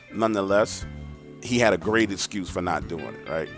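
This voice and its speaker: With music in the background, a man with an American accent talks at a very fast pace. His voice is fairly low, with ordinary pitch variation. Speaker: horror story narrator. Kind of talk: casual talk to camera.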